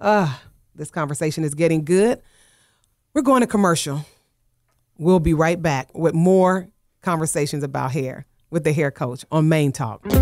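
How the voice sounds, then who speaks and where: Delivered at a moderate pace with long, frequent pauses, the speech sits in a very clean recording against a silent background. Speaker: radio show host and hair coach. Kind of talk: radio talk show discussion. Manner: calmer than before.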